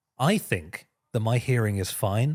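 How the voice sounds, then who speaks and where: Recorded very cleanly against a silent background, with a dry, close sound and no echo, a man with a London accent speaks at medium pitch, somewhat breathy, with lively intonation. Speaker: podcast co-host. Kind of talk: casual chat. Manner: mumbling.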